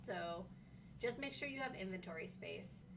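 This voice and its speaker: A woman at a moderate pace with very wide pitch swings, plus audible room echo. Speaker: livestream host, game community manager. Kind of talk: casual livestream chat. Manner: not very loud.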